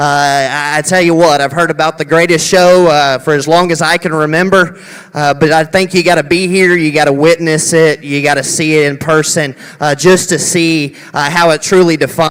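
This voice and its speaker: A man speaks at a moderate pace with a fairly high pitch and an American accent. His intonation is monotone and flat, and there is noticeable background noise. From Texas. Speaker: livestock show judge. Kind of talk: speech at livestock show. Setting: arena with audience, on a mic. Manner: halting, many fillers.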